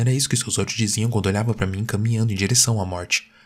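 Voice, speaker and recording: Somewhat breathy and fairly quick, a man's voice comes through on a very clean recording with a silent background. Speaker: narrator of horror stories. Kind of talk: horror story narration, first-person. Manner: changes voice for dialogue, with a cold, clipped official and a flat PA announcer.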